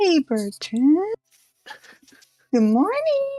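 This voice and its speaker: A squeaky, female-sounding put-on character voice pitched extremely high, with very wide pitch swings. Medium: actual play. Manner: playful, impish.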